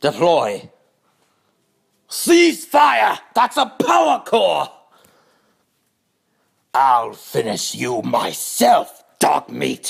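Using a raspy put-on character voice, a man speaks at a very slow pace with long, frequent pauses. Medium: cartoon. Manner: commanding, formal.

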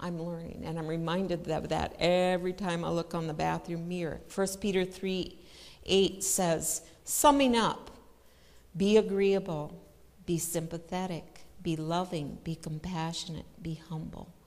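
A normal speaking voice from a woman, fairly low in pitch, with fairly even intonation and a fairly slow pace. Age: 60s. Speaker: church speaker; speaker. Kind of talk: sermon. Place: church.

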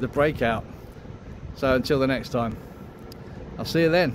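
A man speaks at a moderate pace with ordinary pitch variation and very even loudness. Noticeable background noise runs underneath. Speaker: vlogger. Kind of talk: casual vlog chat. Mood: content, winding down. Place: street. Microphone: phone near.

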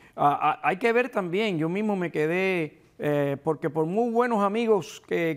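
With a Cuban accent, a man talks at a high pitch and a fairly slow pace. His pitch varies in an ordinary way over a quiet background. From eastern Cuba (Guantánamo, Holguín). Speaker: retired police officer and book co-author; guest. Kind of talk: interview. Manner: halting, repeats words. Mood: reflective, recounting exile. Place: studio. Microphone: lapel.

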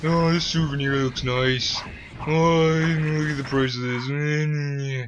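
Putting on a character voice, a man speaks fairly high and monotone with flat intonation at a very slow pace. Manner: casual, browsing, idly impressed.

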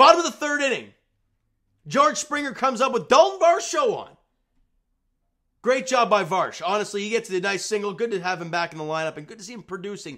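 A man projects his voice with a bright, sharp tone, his pitch swinging very widely and his loudness shifting a lot. He talks at a fairly quick pace over a quiet background. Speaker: sports fan channel host. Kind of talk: casual sports commentary vlog. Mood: upbeat after team win. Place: home room. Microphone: webcam.

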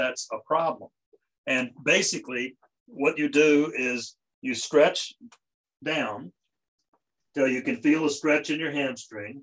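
A man talks at a fairly slow pace with ordinary pitch variation and long, frequent pauses against a quiet background. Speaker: tai chi student. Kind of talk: demonstration of an exercise. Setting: video call. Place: home room. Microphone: video call.

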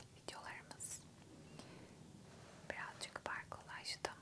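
A woman talks at a very slow pace, leaving long, frequent pauses. Loud noise fills the background. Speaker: ASMR creator. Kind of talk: ASMR close-whisper puzzle solving. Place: home room. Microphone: studio mic.

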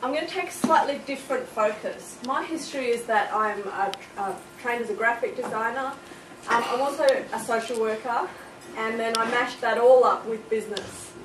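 A woman talks at a moderate pace with ordinary pitch variation while noticeable background noise runs underneath. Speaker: speaker. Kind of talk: presentation talk. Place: classroom. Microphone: camera far.

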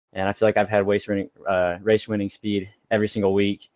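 Speaking at a fairly quick pace, a man with a fairly low pitch has a plain, everyday voice. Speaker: race winner interviewed. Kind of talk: post-race interview.

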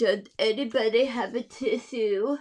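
Using a put-on character voice, a female-sounding speaker talks at a moderate pace in a nasal, fairly high voice.

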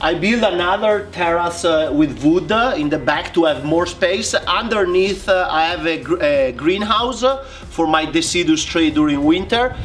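A man with an Italian accent speaks at a high pitch and a moderate pace, with ordinary pitch variation and very even loudness over light background noise. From Italy. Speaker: bonsai artist. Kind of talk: interview. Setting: video call. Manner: hesitant, frequent fillers. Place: garden.

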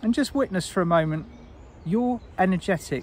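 A man's voice with a warm tone and very wide pitch swings. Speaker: spiritual guide and meditation teacher. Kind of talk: guided meditation. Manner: warm, intimate, encouraging.

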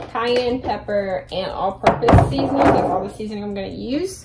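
Loud background noise surrounds a woman's voice. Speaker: vlogger. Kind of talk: casual vlog chat. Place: kitchen. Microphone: phone near.

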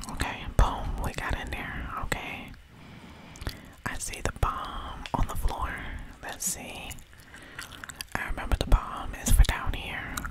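Whispering at a very slow pace, the voice leaves long, frequent pauses. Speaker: gamer. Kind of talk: casual gameplay commentary, ASMR gaming. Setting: home recording while playing a video game. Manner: casual, excited, chatty.

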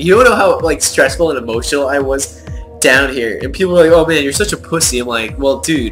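A man speaks fairly quickly while music plays in the background. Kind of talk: casual voice-over commentary. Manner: animated, profane.

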